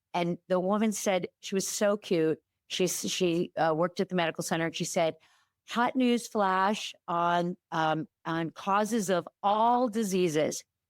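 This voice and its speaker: A woman in an ordinary speaking voice talks at a fairly slow pace, her medium pitch showing ordinary variation and her loudness very even, captured on a very clean recording with a silent background and a dry, close sound with no echo. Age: 60s. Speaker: OB-GYN and sex counselor, author. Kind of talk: casual chat. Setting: podcast interview.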